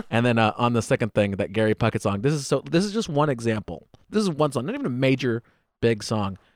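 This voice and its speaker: Lively intonation marks a man with an American accent and a medium pitch who speaks at a very fast pace. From United States. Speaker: stand-up comedian. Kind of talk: casual chat.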